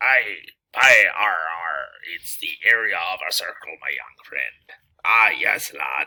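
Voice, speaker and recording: A put-on character voice delivers the lines in a playful tone. The pace is fairly slow. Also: man. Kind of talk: archaic pirate speech. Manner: playful, swashbuckling.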